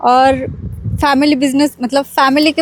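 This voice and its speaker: A woman speaks at a high pitch in a monotone, flat delivery. The sound is dry and close with no echo, and there is noticeable background noise. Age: 20s. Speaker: farmer and interior designer. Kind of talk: interview answers. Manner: hesitant, many fillers.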